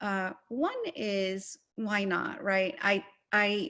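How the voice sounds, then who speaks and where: The background is quiet while a woman talks at a medium pitch. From Morocco, Rabat. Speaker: novelist. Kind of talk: interview.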